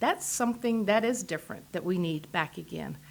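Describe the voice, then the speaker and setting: This woman speaks with vocal fry and ordinary pitch variation. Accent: strong Texas. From Texas, Amarillo. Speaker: political candidate. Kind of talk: radio interview.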